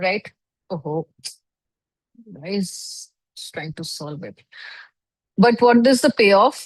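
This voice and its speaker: A somewhat breathy woman of medium pitch talks at a very slow pace, with lively intonation, big swings in loudness and long, frequent pauses. The sound is dry and close, with no echo. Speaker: online course instructor. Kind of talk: lecture.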